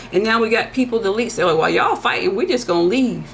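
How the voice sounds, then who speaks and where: A woman speaks in an animated tone, with noticeable background noise and audible room echo. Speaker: tarot reader and soul coach. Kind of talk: monologue prediction reading. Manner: fast.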